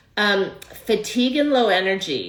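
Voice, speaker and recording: A woman's voice with audible room echo. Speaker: holistic nutritionist and fertility coach. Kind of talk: online workshop talk. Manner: hesitant with fillers.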